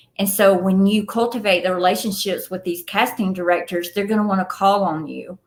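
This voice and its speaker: In a Southern US accent, a woman speaks at a fairly quick pace with hardly any pauses. Her intonation is monotone and flat. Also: medium pitch for a woman. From Atlanta, Georgia, USA. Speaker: film producer and actress. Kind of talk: podcast interview answer.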